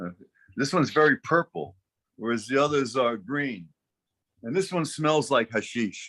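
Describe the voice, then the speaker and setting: A man's bright, sharp voice with vocal fry and lively intonation, long, frequent pauses, a dry, close sound with no echo and a quiet background. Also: medium pitch for a man, moderate pace. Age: 70s. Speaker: scientist. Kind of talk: interview.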